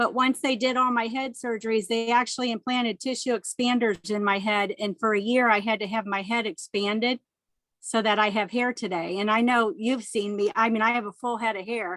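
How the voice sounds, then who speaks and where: Recorded very cleanly against a silent background, with a dry, close sound and no echo, a woman with an unremarkable speaking voice and a fairly high pitch talks at a fairly quick pace with fairly even intonation. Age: 60s. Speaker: cancer survivor. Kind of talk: testimony.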